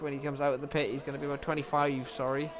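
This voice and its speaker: This man speaks with a Welsh accent at a fairly high pitch. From Wales. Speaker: sim racing commentator. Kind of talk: live commentary. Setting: livestream. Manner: animated.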